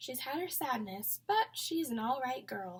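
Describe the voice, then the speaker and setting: In a soft-spoken put-on character voice, a woman talks at a moderate pace and a high pitch. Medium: read story. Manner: soft, low, folksy.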